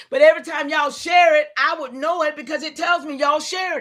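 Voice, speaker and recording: A woman talks very fast in a raised, projected voice, her high pitch bright and sharp and her tone animated. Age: 70s. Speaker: livestream host. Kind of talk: livestream rant. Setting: live stream with chat.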